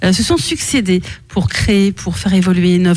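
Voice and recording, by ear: This woman's voice sits fairly low in pitch, with ordinary variation. Her tone is slightly mellow.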